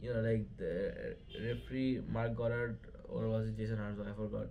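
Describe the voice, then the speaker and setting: The man's voice is medium in pitch. It comes across somewhat breathy. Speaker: MMA commentary YouTuber. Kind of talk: casual fight recap vlog. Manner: halting, many fillers and stutters.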